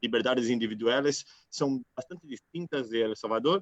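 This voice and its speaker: A man's medium-pitched voice in a Brazilian accent, at a fairly slow pace, with a dry, close sound and no echo. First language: Portuguese (speaking Spanish). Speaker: city councillor, panelist. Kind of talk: panel discussion, online event. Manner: halting, many filler sounds.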